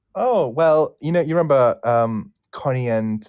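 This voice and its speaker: Moderately paced male speech with normal pitch movement. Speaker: English teacher. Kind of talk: casual chat. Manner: animated.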